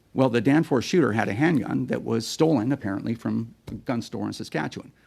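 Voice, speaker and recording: A man's medium-pitched voice with vocal fry, a Canadian accent and a very fast pace. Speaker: firearms advocacy group executive. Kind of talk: parliamentary committee testimony. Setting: Senate committee hearing room.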